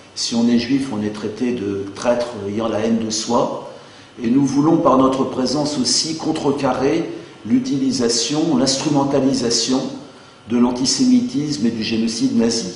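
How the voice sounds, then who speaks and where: A man speaks fairly slowly at a medium pitch with fairly even intonation. Noticeable background noise and audible room echo accompany him. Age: 50s. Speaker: math teacher and activist. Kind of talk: political statement. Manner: hesitant, with fillers.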